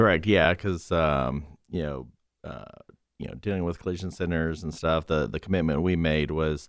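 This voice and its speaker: Over a silent background in a very clean recording, a man with a very deep, low pitch and ordinary pitch variation speaks at a moderate pace with vocal fry. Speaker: auto paint company businessman. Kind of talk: casual panel chat. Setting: radio studio.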